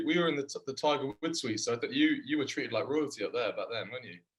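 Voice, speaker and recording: Speaking at a very fast pace, a man talks with a strong English accent. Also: hardly any pauses, big swings in loudness. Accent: thick English. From England. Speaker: professional rugby player. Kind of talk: casual chat.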